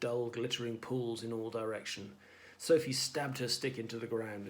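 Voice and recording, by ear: A passage is read aloud in a natural voice.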